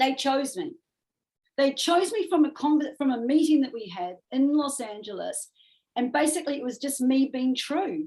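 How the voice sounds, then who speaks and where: A woman with a strong New Zealand accent speaks at a moderate pace in a high, dark and mellow voice with lively intonation. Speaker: music manager. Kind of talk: interview conversation. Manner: animated.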